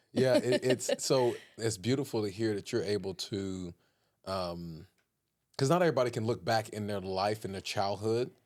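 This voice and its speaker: A man with an American accent speaks in a fairly low pitch at a moderate pace. His tone is animated, with ordinary pitch variation. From Philadelphia, then Texas. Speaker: podcast host. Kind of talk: casual chat.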